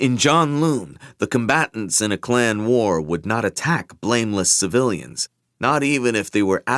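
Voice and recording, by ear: Someone is reading aloud in a natural voice. Behind them, the background stays quiet.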